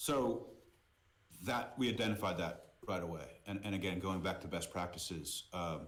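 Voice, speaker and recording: A man's very deep, low voice with an American accent at a moderate pace, with ordinary pitch variation and audible room echo. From US, Boston. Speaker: merchandise company CEO. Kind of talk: interview podcast.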